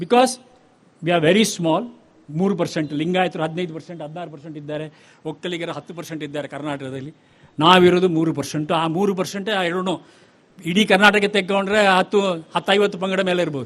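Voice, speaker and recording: A man talks with a high pitch. His loudness swings widely. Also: ordinary pitch variation. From Chennai, Tamil Nadu. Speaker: bank chairman, chief guest. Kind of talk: ceremonial speech. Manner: code-switching Kannada and English.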